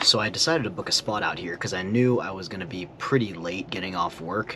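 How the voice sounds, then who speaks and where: Over noticeable background noise, a man with a very deep, low voice talks at a fairly quick pace with ordinary pitch variation. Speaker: vlogger. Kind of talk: casual vlog narration. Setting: outdoors at campsite. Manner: quiet, keeping voice down.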